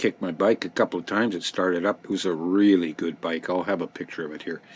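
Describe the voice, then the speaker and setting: A man talks at a very fast pace. His pitch is very deep and low, with fairly even intonation. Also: dry, close sound with no echo. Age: 70s. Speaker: paranormal experiencer telling life stories. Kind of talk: personal storytelling monologue. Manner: casual with fillers and false starts.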